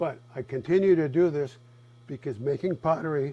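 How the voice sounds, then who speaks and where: This man has a fairly high pitch, a dark, mellow tone, and ordinary pitch variation. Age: 70s. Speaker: master potter. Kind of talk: tutorial. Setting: pottery studio.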